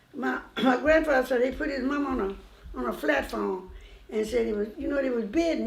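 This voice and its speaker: Against noticeable background noise, a woman talks in a high voice at a moderate pace. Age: 80s+. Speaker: family elder. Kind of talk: interview answer.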